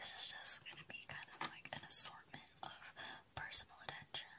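A woman whispers in a gentle tone at a moderate pace. Her loudness swings widely over noticeable background noise. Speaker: whisper role-play host. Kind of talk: soft-spoken role-play addressing the viewer. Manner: gentle close whisper. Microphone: phone near.

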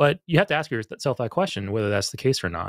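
In a dry sound with no echo and a quiet background, a man with an American accent speaks with vocal fry and very wide pitch swings. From Las Vegas, Nevada. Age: 40s. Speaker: call-in show co-host. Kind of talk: call-in show conversation. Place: home room. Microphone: studio mic.

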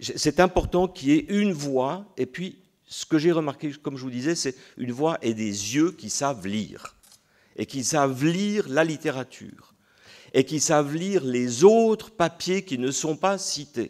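Speaking fairly slowly with lively intonation, a man's fairly high voice comes over a quiet background. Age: 60s. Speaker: panelist. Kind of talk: conference talk. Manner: hesitant, many repetitions and fillers; vehement. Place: hall. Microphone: podium.

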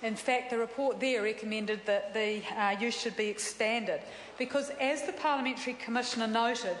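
A woman talks at a fairly quick pace with fairly even intonation. Light background noise and audible room echo are present. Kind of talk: parliamentary speech. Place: hall. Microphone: podium.

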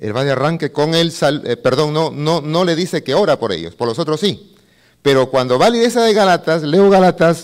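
A man speaks in an animated tone at a fairly high pitch, with very wide pitch swings. His pace is moderate and the background is quiet. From northern coast of Peru. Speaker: pastor and seminary director; pastor. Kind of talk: sermon-like conference talk. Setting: conference hall with live audience. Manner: animated, preacher style, asks audience. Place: hall. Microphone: handheld.

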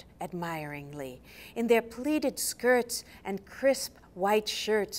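The speaker reads aloud in a natural voice with lively intonation.

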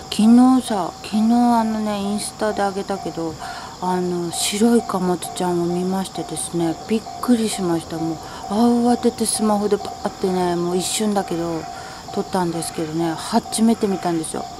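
Noticeable background noise sits under a woman talking at a moderate pace. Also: ordinary pitch variation. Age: 40s. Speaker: housewife. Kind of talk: casual talk to camera. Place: garden. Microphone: phone near.

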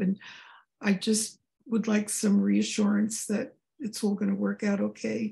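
A woman's somewhat breathy voice carries a dark, mellow tone at a moderate pace. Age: 80s. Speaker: session participant asking questions. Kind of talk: casual question to a spiritual guide. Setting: video call. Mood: warm, a little anxious. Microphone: video call.

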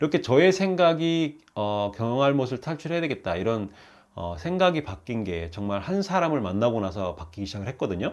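The recording is very clean, with a silent background. A man of medium pitch speaks at a fairly quick pace with very wide pitch swings. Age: 50s. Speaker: YouTuber and habit author. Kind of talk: casual vlog monologue. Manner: hesitant, many fillers.

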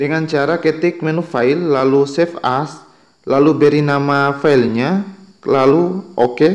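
At a moderate pace, a man with an unremarkable speaking voice talks at a fairly high pitch with fairly even intonation. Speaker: YouTube tutorial creator. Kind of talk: tutorial.

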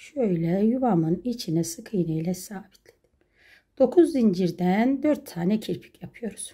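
A woman talks at a fairly slow pace in a somewhat breathy voice with a dark, mellow tone and big swings in loudness. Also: quiet background. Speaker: crochet craft YouTuber. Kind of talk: tutorial. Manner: slow, step-by-step counting. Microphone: phone near.

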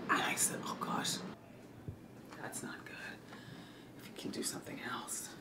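A woman whispers quietly against loud background noise. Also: moderate pace. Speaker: show host. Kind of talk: casual vlog chat. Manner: quiet whispered retelling. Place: office.

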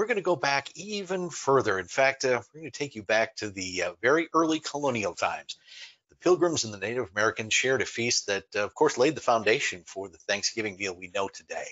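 Against a quiet background, a man's voice shows big swings in loudness. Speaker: online presentation host. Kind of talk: lecture. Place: home room.

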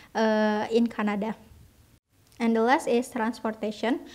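A woman with an Indonesian accent talks at a moderate pace in a fairly high pitch, in a very clean recording with a silent background. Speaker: university student. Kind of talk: class presentation. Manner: reading aloud, formal.

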